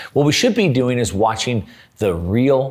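Over a quiet background, a man talks with vocal fry. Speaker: finance commentator. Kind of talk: commentary. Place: studio.

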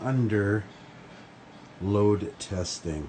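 A man talks with a fairly low pitch and ordinary pitch variation. Light background noise can be heard. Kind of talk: casual vlog chat. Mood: pleased, lightly joking. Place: studio. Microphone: phone near.

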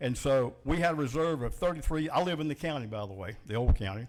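Speaking at a very fast pace with a Southern US accent, a man uses a medium pitch and ordinary pitch variation on a very clean recording with a silent background. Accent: Southern US (Georgia). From US South, Macon, Georgia. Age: 60s. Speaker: citizen giving public comment. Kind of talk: public comment at a government meeting. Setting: county commission meeting room with audience.

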